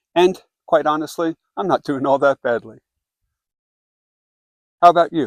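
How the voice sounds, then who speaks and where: Fairly high male voice at a moderate pace, long, frequent pauses, and a dry, close sound with no echo. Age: 60s. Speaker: hiker. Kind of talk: casual reflective talk to camera. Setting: outdoors. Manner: reflective.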